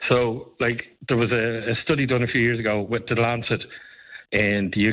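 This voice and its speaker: A man's fairly low voice with an Irish accent, fairly quick and fairly even in intonation. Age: 50s. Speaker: advocacy group spokesperson. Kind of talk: radio interview.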